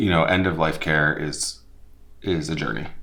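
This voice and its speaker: Audible room echo surrounds a man whose very deep, low pitch comes with a bright, sharp tone. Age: 30s. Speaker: executive director of an independent living center. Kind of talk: testimonial interview. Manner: halting, with many fillers.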